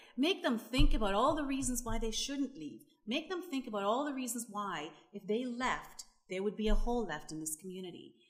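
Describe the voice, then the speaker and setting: A woman's high voice at a fairly quick pace, with very wide pitch swings and big swings in loudness. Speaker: panelist on rural development. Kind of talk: panel discussion. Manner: animated.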